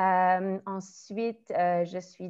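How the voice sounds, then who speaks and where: A woman speaks with a dark, mellow tone. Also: quiet background. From Quebec, Canada. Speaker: primary school teacher and trainer. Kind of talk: webinar presentation. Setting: online webinar. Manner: hesitant with frequent fillers.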